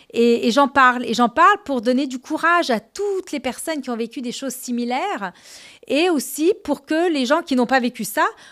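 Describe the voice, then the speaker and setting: At a moderate pace, a woman speaks in a high pitch. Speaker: CEO, women's governance advocate. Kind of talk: interview conversation.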